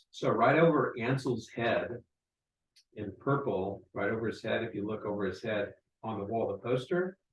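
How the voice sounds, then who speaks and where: Somewhat breathy and with an American accent, the voice moves with ordinary pitch variation. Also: man. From United States. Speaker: podcast host and military veteran. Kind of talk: casual chat.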